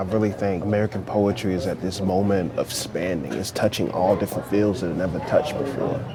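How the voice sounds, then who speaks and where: A man in a Southern US accent at a very fast pace with hardly any pauses, fairly low pitch and ordinary pitch variation, over noticeable background noise. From rural North Carolina, US South. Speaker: poet and teacher. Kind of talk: interview answer and classroom talk. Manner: casual, conversational.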